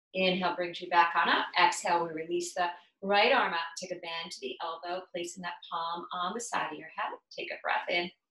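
There is audible room echo around a woman speaking. Her pitch is fairly low and her intonation fairly even. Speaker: yoga instructor and health coach. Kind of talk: guided yoga session, calm instructional cueing with breath pauses. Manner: soft, slow, soothing, unhurried, gently coaxing; casual, conversational, occasionally halting with fillers. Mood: calm, soothing. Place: home room. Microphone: camera far.

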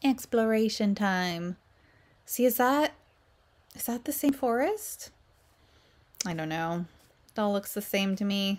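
A woman talks fairly slowly, with long, frequent pauses between phrases. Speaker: game streamer. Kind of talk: casual gameplay commentary. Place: home room.

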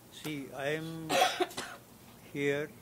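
There is noticeable background noise. A man is talking over it. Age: 80s+. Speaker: elderly tenant speaking at public hearing. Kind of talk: public testimony. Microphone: too far from the microphone.

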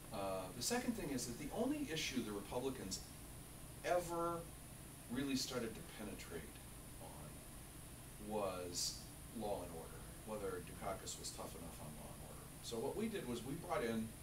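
Noticeable background noise runs under a man talking at a moderate pace. He leaves long, frequent pauses. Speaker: interview guest. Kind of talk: interview answer. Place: office.

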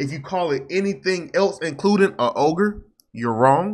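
A man's bright, sharp voice at a moderate pace. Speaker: reaction channel host. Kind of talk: casual reaction commentary. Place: home room. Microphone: studio mic.

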